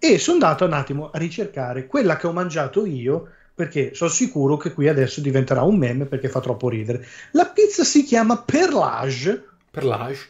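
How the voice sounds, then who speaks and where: A plain, everyday voice at a fairly quick pace with lively intonation. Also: man, fairly high pitch for a man. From Ancona, Marche. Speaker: podcast guest. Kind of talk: casual chat.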